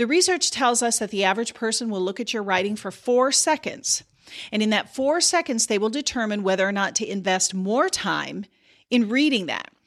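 In a very clean recording with a silent background, a woman with an American accent speaks in a plain, everyday voice. Her pitch is fairly high and her intonation lively. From US Midwest, South Dakota. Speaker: podcast host and communication consultant. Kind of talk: solo educational monologue.

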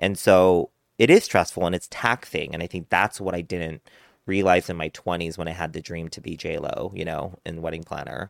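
On a very clean recording with a silent background, a man with an American accent talks at a moderate pace in a very deep, low pitch, his loudness swinging widely. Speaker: event planner. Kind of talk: casual chat. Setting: studio. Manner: animated.

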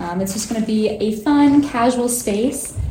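A woman speaks with a fairly high pitch. There is audible room echo and noticeable background noise. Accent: American. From Colorado, US. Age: young. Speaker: interior designer. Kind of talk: guided home tour. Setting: active construction site.

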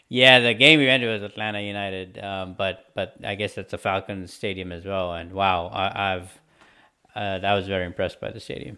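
This man has an unremarkable speaking voice with a fairly low pitch. He talks at a fairly quick pace with fairly even intonation. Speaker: podcast host. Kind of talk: casual chat.

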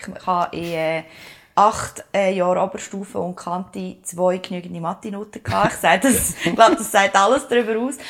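A woman's medium-pitched voice in a Swiss accent, at a moderate pace, with ordinary pitch variation and big swings in loudness. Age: 30s. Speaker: podcast co-host, communications consultant. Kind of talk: casual chat.

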